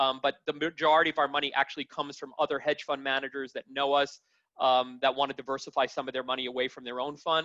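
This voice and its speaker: This man's voice sits at a fairly high pitch and moves at a very fast pace. His intonation stays monotone and flat. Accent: New York. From New York City. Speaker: hedge fund allocator. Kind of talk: panel discussion. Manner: loud.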